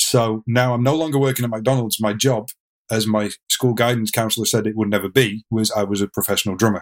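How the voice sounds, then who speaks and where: A man with an English accent and a medium pitch talks at a fairly quick pace with fairly even intonation, his voice dry and close with no echo on a very clean recording with a silent background. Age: 40s. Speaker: drummer and fitness instructor. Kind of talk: interview storytelling.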